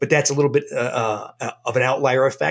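Using an unremarkable speaking voice, a man talks at a fairly quick pace and fairly high pitch with ordinary pitch variation. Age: 60s. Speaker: doctor. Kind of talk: interview.

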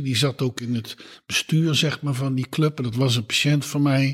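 A man speaks at a moderate pace with a medium pitch. His voice is somewhat breathy, and his intonation stays fairly even. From Netherlands, Eindhoven (Brabant). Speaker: gynaecologist, professor. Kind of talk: interview. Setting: at home.

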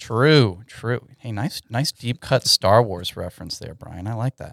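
A man's ordinary speaking voice, fairly low in pitch, with ordinary pitch variation, a dry, close sound with no echo, and a very clean recording over a silent background. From Texas, Houston (Katy). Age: 20s. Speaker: web developer. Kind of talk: casual interview chat.

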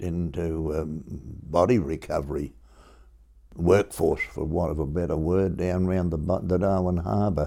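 With an Australian accent, a man speaks at a fairly slow pace, his voice very deep and low. His tone is dark and mellow, with vocal fry. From Melbourne, Australia. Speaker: war veteran and school parent. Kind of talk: oral history interview. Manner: halting.

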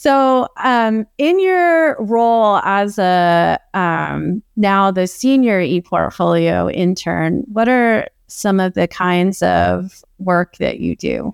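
A very slow, very evenly loud delivery with hardly any pauses, in a very clean recording with a silent background and a dry, close sound free of echo. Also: woman. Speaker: podcast host. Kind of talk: interview conversation.

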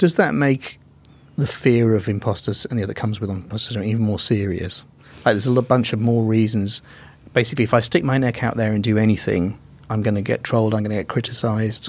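Here a man talks with an English accent. His pace is very fast. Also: medium pitch for a man, ordinary pitch variation. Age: 50s. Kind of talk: casual interview. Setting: studio.

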